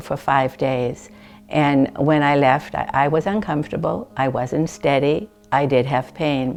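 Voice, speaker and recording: A woman with a very deep, low voice talks at a moderate pace. Music plays in the background. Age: 70s. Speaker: hip replacement patient. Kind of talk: testimonial interview.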